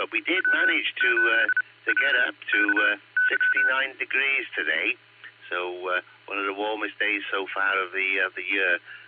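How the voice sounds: A man speaks at a moderate pace with a croaky voice. His pitch is fairly low and varies in an ordinary way.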